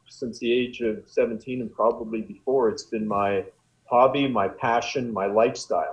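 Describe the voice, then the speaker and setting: He has a plain, everyday voice with a medium pitch. His pace is moderate and his pitch varies in an ordinary way. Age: 60s. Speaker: bodybuilder and former football coach. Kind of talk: casual interview chat.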